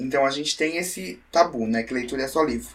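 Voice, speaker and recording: A man is speaking here. His intonation is lively. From Santa Catarina, Brazil (Brusque). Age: 20s. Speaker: writer and language teacher. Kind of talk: casual interview chat.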